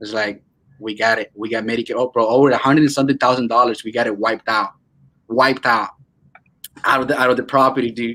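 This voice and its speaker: Speaking in a Venezuelan accent, a man talks at a very fast pace with long, frequent pauses. His medium pitch carries a bright, sharp tone. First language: Spanish. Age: 20s. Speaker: real estate wholesaler. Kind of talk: casual interview. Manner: animated.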